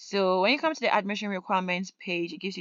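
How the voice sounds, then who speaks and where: A woman speaks at a medium pitch over a quiet background. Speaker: YouTuber on study abroad and scholarships. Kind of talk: screen-share tutorial. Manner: fast.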